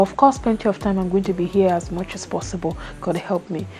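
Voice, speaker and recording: Over music in the background, a woman with a Yoruba accent talks at a fairly quick pace. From Nigeria (Yoruba). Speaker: vlogger. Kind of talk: casual chat. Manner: animated; halting.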